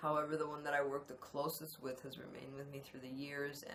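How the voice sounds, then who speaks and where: A woman speaks in a very deep, low voice, with audible echo from the room. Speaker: spiritual channeling teacher. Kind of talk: monologue on spirituality to camera. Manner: halting, many fillers; voice drops deeper when channeling.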